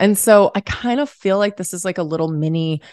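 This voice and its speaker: With a quiet background, a woman talks at a moderate pace using ordinary pitch variation. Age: 30s. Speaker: podcast host. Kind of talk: casual chat.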